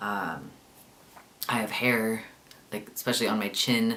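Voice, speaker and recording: The speaker is a man. There is audible room echo. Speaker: vlogger. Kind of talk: casual video diary. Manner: hesitant, many fillers.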